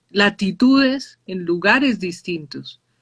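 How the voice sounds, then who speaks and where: Against a quiet background, a woman speaks at a very slow pace in a somewhat breathy voice with ordinary pitch variation. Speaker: professor, nurse, youth researcher. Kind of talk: live online conversation. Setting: video livestream.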